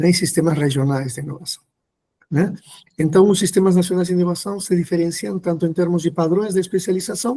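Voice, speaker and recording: With a Peruvian accent, a man talks fairly quickly in a high, dark, mellow tone with ordinary pitch variation. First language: Spanish (speaking Portuguese). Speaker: professor. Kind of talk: lecture. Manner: hesitant, many fillers.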